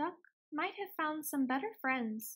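A woman puts on a character voice, pitched high and delivered fairly slowly. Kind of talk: storybook read-aloud. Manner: sad.

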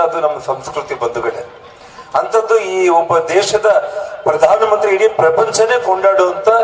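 A man's high pitch against noticeable background noise. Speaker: politician. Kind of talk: campaign rally speech. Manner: emphatic, oratorical.

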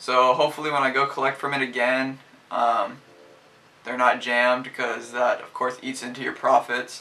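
His delivery moves at a fairly quick pace. The man's intonation stays monotone and flat. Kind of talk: casual vlog chat. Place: home room.

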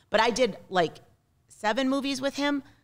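Energetic woman's voice with an American accent and lively intonation. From US Northeast (Massachusetts). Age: 40s. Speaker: film producer. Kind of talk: casual interview. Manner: laughs often. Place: studio. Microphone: studio mic.

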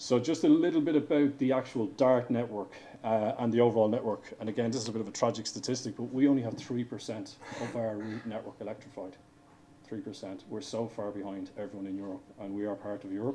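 Over light background noise, a man with an Irish accent talks at a fairly quick pace, with ordinary pitch variation and big swings in loudness. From Ireland. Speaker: railway engineering director. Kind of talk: conference presentation. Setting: stage with audience. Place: hall.

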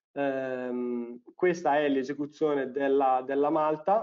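A man with a normal speaking voice talks at a fairly high pitch with fairly even intonation. The background is quiet. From northern Italy, Bergamo; Italy. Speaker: engineer, technical specialist; presenter. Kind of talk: technical webinar presentation. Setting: online webinar. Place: home room. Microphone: webcam.

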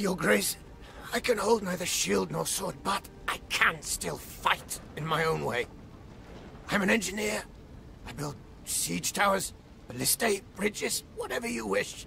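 In a put-on character voice, a man speaks with a high, raspy pitch at a moderate pace, taking long, frequent pauses over clear background noise. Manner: pained, ferocious, pleading.

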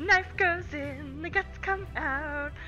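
A woman performs in a put-on character voice. Clear music plays in the background. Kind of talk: gameplay commentary. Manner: sadistic, menacing. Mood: playful.

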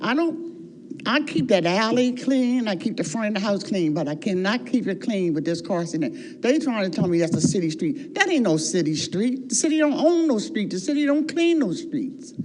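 A woman's fairly high voice with very wide pitch swings, a moderate pace and hardly any pauses, over noticeable background noise. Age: 70s. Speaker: resident speaking at public comment. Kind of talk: public comment at city council meeting. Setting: city council meeting. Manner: animated.

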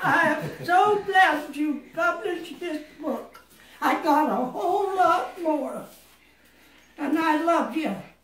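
Over light background noise and audible room echo, a woman with extremely high pitch and ordinary pitch variation speaks at a very slow pace. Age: 90s. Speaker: poet, author of a book of poems. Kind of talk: casual family conversation. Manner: surprised, delighted. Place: home room.

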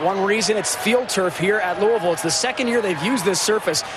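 High-pitched man at a fairly quick pace, ordinary pitch variation, dry sound with no echo and noticeable background noise. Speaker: sideline reporter. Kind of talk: sideline reporting. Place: stadium. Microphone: handheld.

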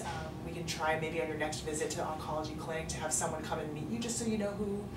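Loud background noise plays behind a woman talking at a fairly quick pace. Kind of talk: calm clinical counseling conversation. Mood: gentle, compassionate. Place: meeting room. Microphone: camera far.

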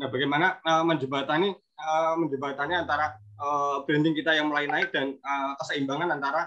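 A man's fairly high voice with fairly even intonation and a fairly quick pace. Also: quiet background. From Indonesia. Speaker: craft business owner. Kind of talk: Q&A question. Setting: video call. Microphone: video call.

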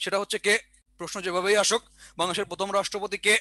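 A man's raised, projected voice, high in pitch with a bright, sharp tone and monotone, flat intonation, in a dry sound with no echo and a quiet background. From Bangladesh. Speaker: exam prep teacher. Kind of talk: online lecture; lecture. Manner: repetitive, dictation pace. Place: classroom. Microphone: headset.

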